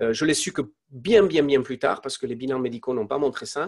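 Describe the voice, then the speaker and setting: A man at medium pitch and a moderate pace. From Spain. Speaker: entrepreneur. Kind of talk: interview testimony. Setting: live online interview. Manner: halting, many fillers and repetitions.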